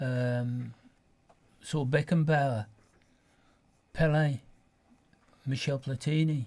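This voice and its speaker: A man's somewhat breathy voice, fairly high in pitch and fairly even in intonation, very slow with long, frequent pauses. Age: 80s+. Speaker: football supporter, studio guest. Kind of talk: radio interview, casual chat. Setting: radio studio.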